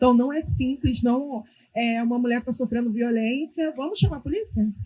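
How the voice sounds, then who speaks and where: A dark, mellow tone at a moderate pace. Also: woman. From Brazil, Rio de Janeiro favela. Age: 30s. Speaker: community activist, founder of women's group. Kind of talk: panel discussion.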